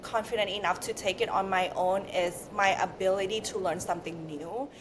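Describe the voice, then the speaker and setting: A woman speaks with a non-native accent. Noticeable background noise can be heard behind her. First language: not English. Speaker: beauty brand founder, former beauty influencer. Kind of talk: podcast interview.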